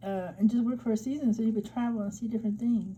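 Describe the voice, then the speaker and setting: A woman's somewhat breathy, fairly high voice with a dark, mellow tone. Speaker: vlogger giving job-search tips. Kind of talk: screen-share tutorial. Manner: casual, many fillers.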